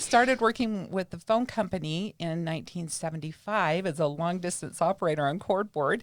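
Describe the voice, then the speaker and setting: A woman speaks in an ordinary speaking voice with a fairly low pitch, ordinary pitch variation, and a moderate pace with hardly any pauses. The recording is very clean, with a silent background. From Utah (Salt Lake City, west side). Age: 60s. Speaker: retired spiritual class teacher. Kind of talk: interview, personal story.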